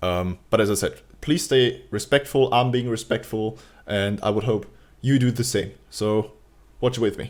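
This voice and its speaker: Speaking fairly slowly with a German accent, a man talks at a medium pitch. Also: fairly even intonation, very clean recording, silent background. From Germany. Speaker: YouTuber reacting to a video. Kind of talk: casual reaction commentary. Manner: halting, with hesitations.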